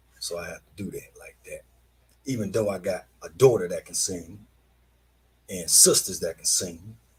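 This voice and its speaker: Speech at a moderate pace, broken by long, frequent pauses, with big swings in loudness. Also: man. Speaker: online show host. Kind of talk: casual monologue. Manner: halting.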